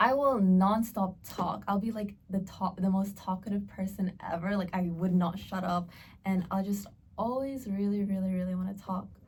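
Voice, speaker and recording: A woman with an American accent, medium pitch, a somewhat breathy sound, fairly even intonation and a moderate pace. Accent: American-sounding. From Australia. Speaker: podcast co-host. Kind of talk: casual chat.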